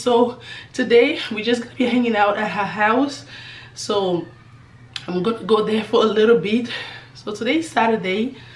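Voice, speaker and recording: A hoarse, put-on character voice moves at a moderate pace with ordinary pitch variation. Long, frequent pauses break it up, and there is audible echo. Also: woman, fairly high pitch for a woman. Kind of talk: casual vlog chat.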